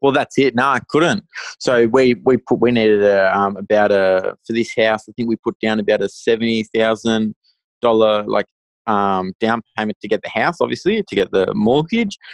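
Speaking at a moderate pace with an Australian accent, a man uses ordinary pitch variation at a medium pitch, the sound dry and close with no echo. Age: 20s. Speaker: first-time property investor. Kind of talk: podcast interview.

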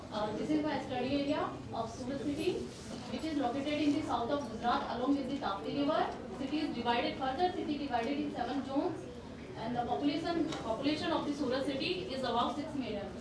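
With noticeable background noise and audible room echo, a woman speaks with ordinary pitch variation. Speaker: conference presenter. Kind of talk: lecture. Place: hall.

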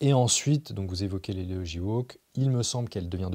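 At a fairly slow pace, a man talks in a fairly low voice with a dark, mellow tone and ordinary pitch variation against a quiet background. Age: 30s. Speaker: journalist and essayist; journalist, interviewee. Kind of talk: interview. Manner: hesitant, many fillers and repetitions. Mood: calm, thoughtful. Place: studio.

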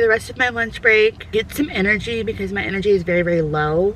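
A woman at a fairly quick pace, dry sound with no echo, light background noise underneath. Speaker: lifestyle vlogger. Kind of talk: casual vlog chat. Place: car. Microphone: phone near.

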